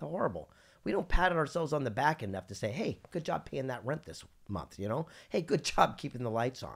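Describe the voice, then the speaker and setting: A man's fairly high, vocal-fry voice with an American accent, very wide pitch swings and a fairly quick pace, on a very clean recording with a silent background. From Southern California. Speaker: entrepreneur and keynote speaker. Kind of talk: podcast interview. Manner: animated.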